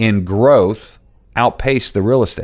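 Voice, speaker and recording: A man's normal speaking voice at a medium pitch, with lively intonation, on a very clean recording with a silent background. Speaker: financial advisor podcast host. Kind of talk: solo podcast explainer.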